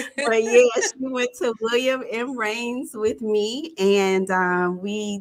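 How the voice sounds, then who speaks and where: A woman with a Jacksonville accent on a very clean recording with a silent background. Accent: Jacksonville, Florida. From Jacksonville, Florida. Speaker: relationship coach and talk show host. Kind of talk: live interview. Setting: livestream.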